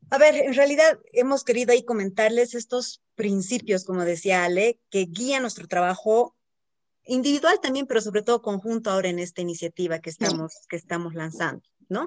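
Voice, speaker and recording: A woman with a plain, everyday voice talks at a fairly quick pace with lively intonation and fairly high pitch, the sound dry and close with no echo. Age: 40s. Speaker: health coach and podcast co-host. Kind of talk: casual chat.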